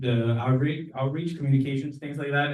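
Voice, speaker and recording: A man with a Spanish accent talks amid audible room echo. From Mexico. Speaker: neighborhood association board member. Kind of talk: candidate speech at community meeting.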